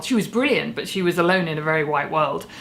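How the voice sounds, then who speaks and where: Speaking with a British accent, a woman uses a fairly low pitch and lively intonation. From UK. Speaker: YouTuber, TV reviewer. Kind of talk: video commentary. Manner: animated.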